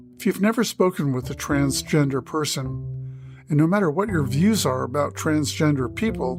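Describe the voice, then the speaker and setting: A man keeps talking with hardly any pauses as music sounds behind him. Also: moderate pace. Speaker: podcast host. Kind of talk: podcast intro.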